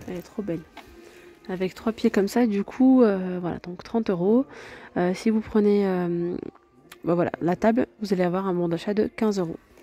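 Moderate pace with long, frequent pauses and ordinary pitch variation, in a dry sound with no echo and faint music in the background. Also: woman. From France. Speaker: video blogger touring a store. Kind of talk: street-market pitchman patter, rattling off products and prices to camera. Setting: in a shop, filming on location. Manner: repetitive hype, with 'regardez' and 'hein' hooks. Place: shop. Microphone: phone near.

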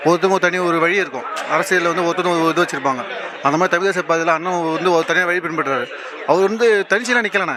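Over crowd noise in the background, a man speaks at a high pitch with ordinary pitch variation. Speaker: political party supporter. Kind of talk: interview answer, political talk.

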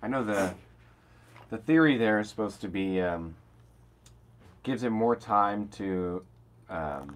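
A man's slow speech at fairly low pitch, with lively intonation and long, frequent pauses

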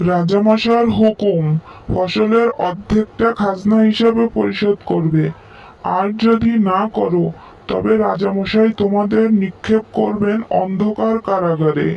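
Speaking fairly slowly in a cartoonish character voice, a man holds a high pitch at very even loudness. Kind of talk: town-crier proclamation. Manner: loud, declaiming.

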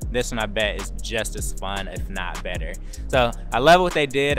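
Clear music sits behind a man who speaks at a fairly brisk clip. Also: dry sound with no echo. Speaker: car reviewer. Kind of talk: casual walk-around commentary. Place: street. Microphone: phone near.

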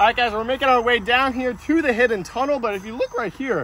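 A raised, projected voice with a bright, sharp tone speaks at a very fast pace in a dry sound with no echo over light background noise. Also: man. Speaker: fishing vlogger. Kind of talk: casual vlog chat. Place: waterside. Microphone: phone near.

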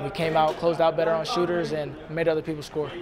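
Over clear crowd noise and other clear background noise, a man speaks fast at a fairly high pitch with little pitch movement.

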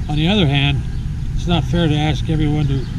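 A man talks at a fairly quick pace, with noticeable background noise. The sound is dry, with no echo. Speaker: amateur radio hobbyist. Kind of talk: informative vlog explanation. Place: street. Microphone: phone near.

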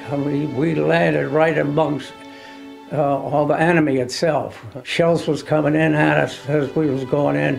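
Clear music plays in the background. A man speaks over it with fairly even intonation. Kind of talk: interview answer. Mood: emotional, reflective remembering. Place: home room.

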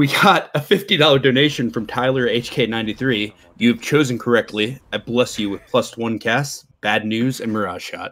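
A man's ordinary speaking voice at a medium pitch and fairly slow pace, with ordinary pitch variation, in a very clean recording with a silent background. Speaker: donation reader. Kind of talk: reading aloud.

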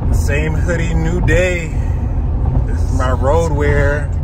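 A man at a very slow pace, dry with no echo, over loud background noise. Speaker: family road trip vlogger. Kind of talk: casual vlog chat. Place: car. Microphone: phone near.

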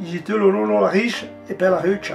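A man speaks with a Lombard accent at a moderate pace. Faint music plays in the background. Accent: Livigno dialect. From Livigno, Italian Alps. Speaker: local elder poet. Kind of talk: poetry reading. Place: home room.

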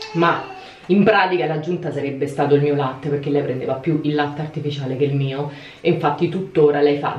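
A woman with a very deep, low pitch speaks at a fairly quick pace. Her pitch variation is ordinary, and audible room echo comes through. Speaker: vlogger mother. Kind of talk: casual vlog chat. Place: bathroom. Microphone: phone near.

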